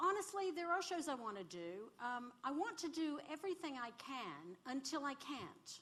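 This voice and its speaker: Speaking with an American accent, a woman uses a high pitch with very wide swings, a bright, sharp tone, a moderate pace and hardly any pauses. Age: 60s. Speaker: musical theatre singer and actress. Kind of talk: live on-stage interview. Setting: stage with live audience.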